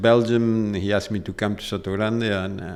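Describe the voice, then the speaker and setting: A fairly low-pitched man in a flat monotone. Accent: Argentine. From Argentina. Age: 60s. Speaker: polo club manager. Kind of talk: casual interview. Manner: halting, many fillers.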